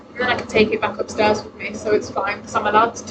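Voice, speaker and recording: Noticeable background noise accompanies a woman speaking in a fairly high, monotone, flat voice. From Britain. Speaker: vtuber streamer. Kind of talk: casual livestream chat. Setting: home livestream from laptop. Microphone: laptop microphone, unsure of volume.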